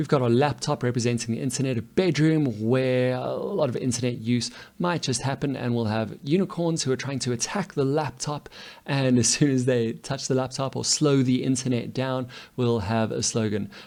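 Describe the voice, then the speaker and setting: Here a man uses an unremarkable speaking voice at a medium pitch. He keeps a moderate pace with ordinary pitch variation. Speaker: coding teacher. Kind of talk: tutorial.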